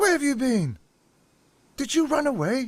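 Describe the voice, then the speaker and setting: A man performs a put-on character voice. His pitch is extremely high. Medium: machinima.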